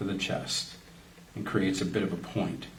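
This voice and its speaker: Fairly slow speech with audible room echo. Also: man. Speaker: art tutorial presenter, creative director. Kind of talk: drawing tutorial. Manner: casual, friendly, addressing kids.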